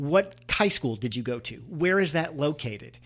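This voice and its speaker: A plain, everyday voice from a man with an American accent, fairly high in pitch, with lively intonation, a moderate pace and a very clean recording with a silent background. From Missouri. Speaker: political podcast co-host. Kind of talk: casual political discussion.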